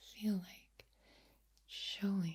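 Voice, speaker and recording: Soft-spoken, this voice moves along at a very slow pace. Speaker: ASMR creator. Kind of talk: ASMR soft-spoken talk.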